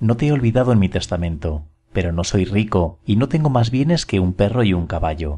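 A man's somewhat breathy voice, fairly low in pitch and dark and mellow in tone, with very wide pitch swings at a fairly quick pace. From Spain. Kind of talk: short story reading.

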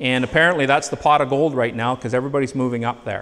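A man with a Canadian accent. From Northern Ontario, Canada; Ontario, Canada. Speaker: agronomist / soil lab specialist; presenter. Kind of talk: presentation to farmers. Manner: conversational, with filler hesitations. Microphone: handheld.

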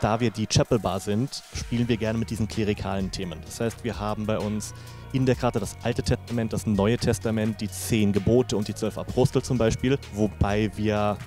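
Faint music sits behind a man's fairly low voice. His intonation is fairly even, and the sound is dry with no echo. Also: moderate pace. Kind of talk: interview answer. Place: bar. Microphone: handheld.

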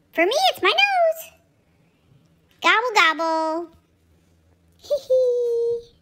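A woman's put-on character voice at an extremely high pitch, very slow, with long, frequent pauses. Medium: animal voice-over. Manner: playful, cute.

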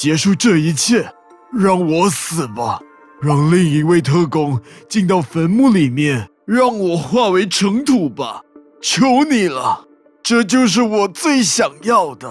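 With faint music in the background, a man with a high pitch speaks at a fairly slow pace. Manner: pleading, anguished.

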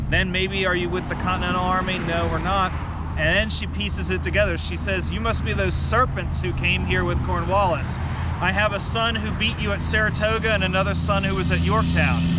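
A man speaks at a fairly quick pace. The sound is dry with no echo, but loud background noise is present. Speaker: history guide. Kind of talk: historical storytelling to camera. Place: open country.

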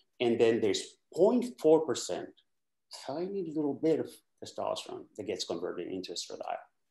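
Against a quiet background with audible room echo, a man talks at a moderate pace with long, frequent pauses. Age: 60s. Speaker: doctor; guest. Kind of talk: casual chat. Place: home room. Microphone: webcam.

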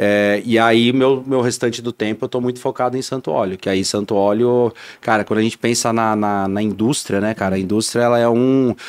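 A man with an ordinary speaking voice, medium pitch and fairly even intonation, at a fairly quick pace with hardly any pauses, over a quiet background. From São Paulo city, Brazil; Brazil. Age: 30s. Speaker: business owner; podcast guest. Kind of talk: interview. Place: studio. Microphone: studio mic.

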